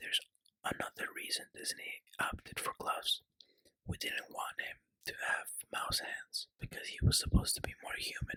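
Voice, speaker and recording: The speaker is whispering. The pace is moderate. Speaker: ASMR creator. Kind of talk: ASMR whispered fact reading. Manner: whispered.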